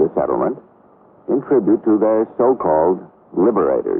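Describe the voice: A man speaks at a moderate pace with big pitch swings. His voice has a slightly husky edge and vocal fry.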